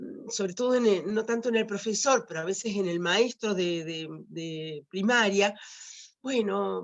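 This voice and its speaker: A woman at a medium pitch, a fairly slow pace and ordinary pitch variation. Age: 60s. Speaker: writer and retired teacher. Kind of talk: talk at online teacher training event. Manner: halting, many fillers and repetitions.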